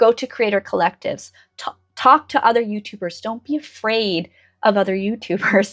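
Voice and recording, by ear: A woman with a medium pitch keeps a moderate pace and shows ordinary pitch variation.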